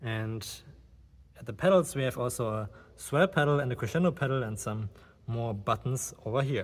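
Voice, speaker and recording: A man with a German accent talks at a moderate pace and medium pitch, with ordinary pitch variation. His voice is somewhat breathy, and he leaves long, frequent pauses. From Germany. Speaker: organist and video creator. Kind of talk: guided tour presentation. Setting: inside a church.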